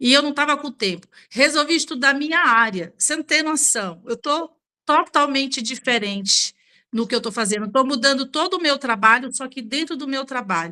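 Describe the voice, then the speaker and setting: A woman's high-pitched, raised and projected voice, bright and sharp in tone, with lively intonation at a moderate pace. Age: 60s. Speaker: beauty professional, book club member. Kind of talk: book club discussion.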